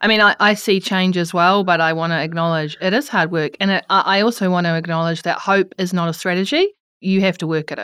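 A woman's bright, sharp voice in a New Zealand accent at medium pitch, very fast with hardly any pauses and fairly even intonation, on a very clean recording with a silent background. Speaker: podcast host. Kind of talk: interview.

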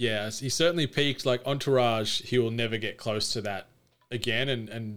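A man with an Australian accent, medium-pitched, with fairly even intonation and a fairly quick pace. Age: 30s. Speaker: podcaster. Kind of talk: casual chat.

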